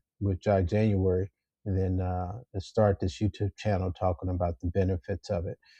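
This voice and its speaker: Somewhat breathy, a man speaks at a moderate pace in a fairly low pitch with monotone, flat intonation. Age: 60s. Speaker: YouTuber, retiree sharing health tips. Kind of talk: casual vlog monologue. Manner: frequent filler words and self-repeats.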